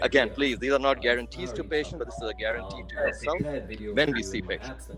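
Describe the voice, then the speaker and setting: A man at a very fast pace against noticeable background noise. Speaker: eye surgeon. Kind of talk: webinar talk. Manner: animated.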